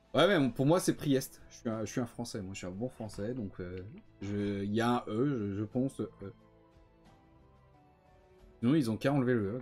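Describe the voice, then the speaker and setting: A man speaks at a moderate pace and a medium pitch, with ordinary pitch variation, long and frequent pauses, and music playing in the background. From France.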